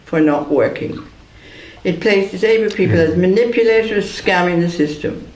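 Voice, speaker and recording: A moderate pace amid noticeable background noise and audible room echo. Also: man, very even loudness. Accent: Irish. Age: 70s. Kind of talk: prepared statement read aloud at press conference. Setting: press conference.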